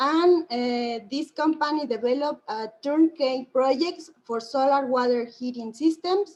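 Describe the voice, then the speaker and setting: Her pitch high and its variation ordinary, a woman speaks at a fairly slow pace. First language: Spanish. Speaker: solar engineer presenting at conference. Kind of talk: conference presentation. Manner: halting, many fillers.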